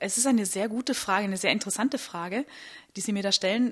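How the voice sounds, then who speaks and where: In a very clean recording with a silent background, a woman speaks at a fairly high pitch. Hers is an unremarkable speaking voice with ordinary pitch variation. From Austria, Vorarlberg (Bregenz). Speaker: soprano singer. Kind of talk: interview. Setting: historic building at a festival.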